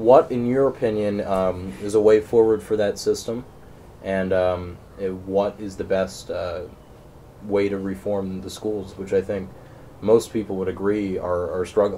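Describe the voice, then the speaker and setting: Over light background noise, a man talks in a plain, everyday voice, fairly low in pitch, at a fairly slow pace with fairly even intonation. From southern Pennsylvania. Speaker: newspaper interviewer. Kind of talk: interview. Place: home room. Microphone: camera far.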